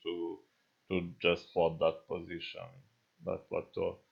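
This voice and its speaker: A man speaks with a non-native accent. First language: not English. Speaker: gaming YouTuber. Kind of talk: gameplay tutorial commentary. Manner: halting, many fillers.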